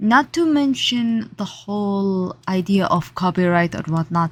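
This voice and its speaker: A woman's somewhat breathy, medium-pitched voice at a very slow pace, on a very clean recording with a silent background. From Saudi Arabia. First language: Arabic. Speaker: artist. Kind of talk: casual vlog talk. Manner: halting.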